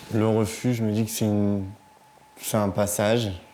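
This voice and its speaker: A male speaker against noticeable background noise. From northern France, Vernon, Normandy. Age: 20s. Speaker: young homeless resident of a shelter. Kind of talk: documentary interview testimony. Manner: halting.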